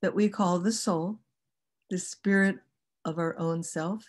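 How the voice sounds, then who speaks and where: This woman's voice has a fairly low pitch. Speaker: kundalini yoga and chanting teacher. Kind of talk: online workshop teaching. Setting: video call. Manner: slow.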